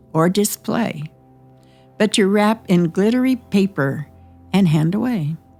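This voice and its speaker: Music plays in the background as a woman speaks at a medium pitch. Her pace is fairly slow and her intonation lively. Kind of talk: mock nature documentary narration.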